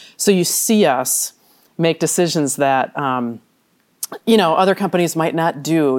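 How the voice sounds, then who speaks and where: An American accent comes through on a very clean recording with a silent background. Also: woman. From US Midwest, southern Wisconsin (Janesville). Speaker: retail company executive. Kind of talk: interview.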